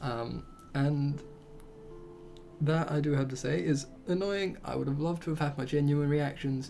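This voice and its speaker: Music sounds in the background. Long, frequent pauses break up speech at a moderate pace. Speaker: gaming youtuber. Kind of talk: let's play commentary. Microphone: mic about a foot away, quiet.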